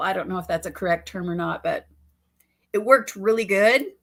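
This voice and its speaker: The speech moves at a fairly quick pace with fairly even intonation. It is a very clean recording with a silent background. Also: woman. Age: 60s. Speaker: beauty vlogger. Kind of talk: live stream chat and demonstration. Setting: live stream. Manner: casual, hesitant with many fillers.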